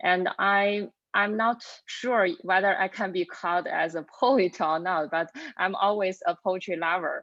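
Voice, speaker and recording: A woman with a Chinese accent speaks at a medium pitch and a fairly slow pace, her intonation fairly even. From China. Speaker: lecturer and poet. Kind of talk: panel self-introduction.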